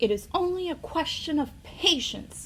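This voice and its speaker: A woman uses a put-on character voice at an extremely high pitch. Background noise is clearly audible. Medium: read story.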